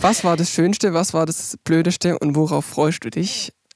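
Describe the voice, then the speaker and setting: A man talks at a moderate pace in a fairly high pitch, with ordinary pitch variation. The sound is dry and close, with no echo. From rural Germany. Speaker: podcast host and musician. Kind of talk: casual interview; podcast intro and outro.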